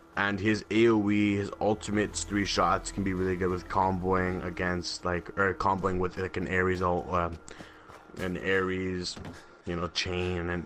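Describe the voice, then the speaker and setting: A man speaks at a moderate pace in a very deep, low voice with monotone, flat intonation. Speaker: gaming video creator. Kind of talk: gaming tutorial commentary. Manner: stutters often.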